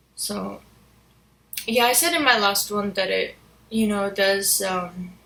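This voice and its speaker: A woman speaking fairly slowly amid noticeable background noise and audible room echo. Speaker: vlogger. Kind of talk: casual monologue vlog. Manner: halting, with pauses; quiet, reserved when sober.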